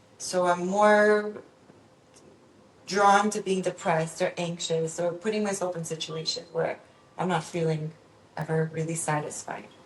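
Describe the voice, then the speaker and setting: With a Spanish accent, a woman speaks at a fairly slow pace in a fairly low, somewhat breathy voice, her intonation fairly even and her pauses long and frequent. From Venezuela, raised in Miami from age six. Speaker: psychologist. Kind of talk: podcast interview.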